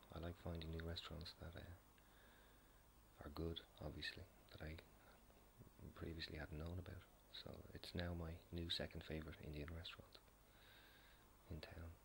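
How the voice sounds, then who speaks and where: The speaker is soft-spoken, with a gentle tone, a moderate pace and long, frequent pauses. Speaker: video blogger. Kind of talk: casual late-night talk to camera. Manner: soft-spoken, gentle, quiet.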